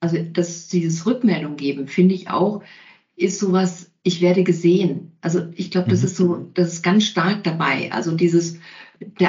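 At a moderate pace, a woman speaks in an ordinary speaking voice with a fairly low pitch. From Bavaria (Allgäu). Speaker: communication coach and trainer. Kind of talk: interview conversation.

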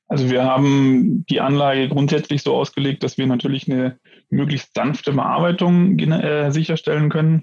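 At a moderate pace, a man speaks in a fairly high, somewhat breathy voice with ordinary pitch variation. His loudness stays very even. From Franconia, Coburg. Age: 40s. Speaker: sales engineer. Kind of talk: technical interview. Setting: remote call via internet.

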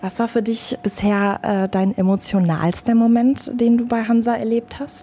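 Noticeable background noise runs under a woman's voice. She speaks at a fairly slow pace with a fairly high pitch and fairly even intonation. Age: 20s. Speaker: radio podcast host. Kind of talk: interview.

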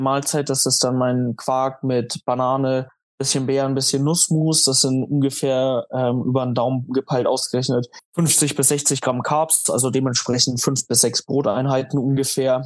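A man at medium pitch speaks at a moderate pace in a monotone, flat intonation. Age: 20s. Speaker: amateur bodybuilder with type 1 diabetes. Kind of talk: casual interview.

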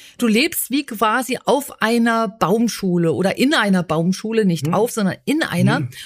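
An ordinary speaking voice at a fairly slow pace with lively intonation, on a very clean recording with a silent background. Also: woman. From Berlin. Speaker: podcast host, business consultant. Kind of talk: interview.

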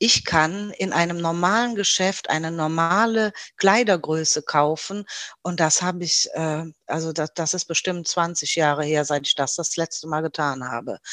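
A woman speaks at a fairly slow pace with a fairly low pitch. The recording is very clean, with a silent background. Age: 50s. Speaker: former weight-loss program participant, administrative worker. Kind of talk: interview, personal testimony. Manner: hesitant, many filler sounds.

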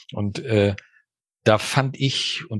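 A man with a fairly low pitch and ordinary pitch variation is recorded with a dry, close sound and no echo. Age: 60s. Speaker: business coach and mediator. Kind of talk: interview. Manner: animated.

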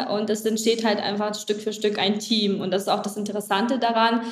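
Amid audible room echo and noticeable background noise, a woman talks at a moderate pace in a fairly high pitch. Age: 20s. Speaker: head of HR at a food company. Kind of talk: podcast interview.

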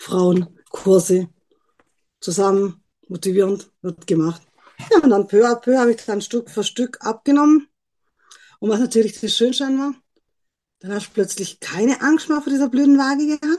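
A woman with a fairly high pitch and a dark, mellow tone talks at a moderate pace with lively intonation, breaking often into long pauses. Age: 40s. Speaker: interview guest, weight-loss story. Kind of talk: personal testimony. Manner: animated.

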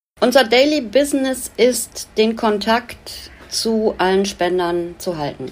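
Over noticeable background noise, a woman talks at a very slow pace with hardly any pauses and lively intonation. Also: fairly high pitch for a woman. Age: 60s. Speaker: activist fundraiser, businesswoman. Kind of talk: interview.

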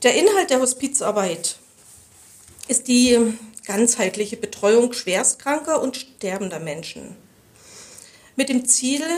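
The speech comes at a very slow pace with ordinary pitch variation. Noticeable background noise runs underneath. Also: woman. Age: 50s. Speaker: hospice association chairwoman. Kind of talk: interview. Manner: halting, many fillers.

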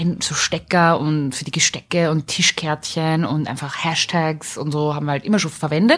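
A woman talks with a fairly low pitch. Noticeable background noise is present. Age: 30s. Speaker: small business owner. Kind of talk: casual interview. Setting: studio.

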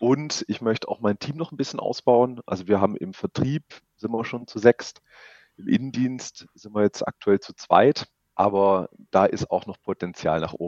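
Speaking at a medium pitch with ordinary pitch variation, a man has an ordinary speaking voice. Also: moderate pace. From Stuttgart, Swabia. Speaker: insurance broker. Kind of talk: interview. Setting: phone call.

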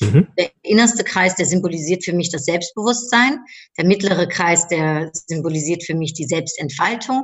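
Her voice is fairly low for a woman and somewhat breathy, with ordinary pitch variation. She keeps a moderate pace. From Germany, Cologne. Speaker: podcaster and life coach. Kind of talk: interview.

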